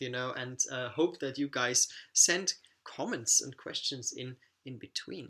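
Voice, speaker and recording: The recording is very clean, with a silent background. The speaker talks with a German accent. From Austria. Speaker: travel vlogger. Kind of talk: live stream Q&A. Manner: animated.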